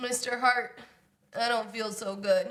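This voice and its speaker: A woman's put-on character voice, fairly high in pitch, with monotone, flat intonation and a fairly slow pace. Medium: comedy sketch. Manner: whiny.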